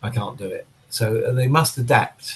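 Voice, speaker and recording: Somewhat breathy is how this man's voice sounds. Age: 60s. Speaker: drummer. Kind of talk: casual chat.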